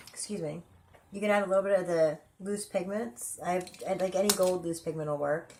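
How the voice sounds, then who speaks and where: There is noticeable background noise as a woman speaks fairly quickly at a medium pitch with fairly even intonation. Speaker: beauty vlogger. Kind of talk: makeup tutorial. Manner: casual, conversational.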